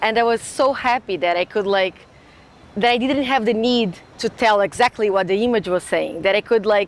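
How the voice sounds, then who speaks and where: With a Brazilian Portuguese accent, a woman speaks at a moderate pace in a fairly high pitch, with ordinary pitch variation and very even loudness. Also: dry, close sound with no echo. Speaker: graduate student. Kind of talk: interview monologue. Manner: halting, with fillers and restarts.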